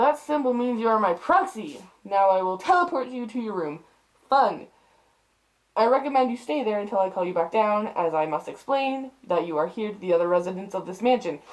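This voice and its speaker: A put-on character voice, fairly high in pitch, at a fairly quick pace. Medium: read story. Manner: formal, measured.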